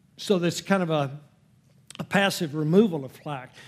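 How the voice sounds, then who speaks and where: A man with a fairly high pitch talks at a moderate pace with fairly even intonation, in a plain, everyday voice. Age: 60s. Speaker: Bible teacher. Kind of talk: teaching session at a church class. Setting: church with audience. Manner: folksy, joking.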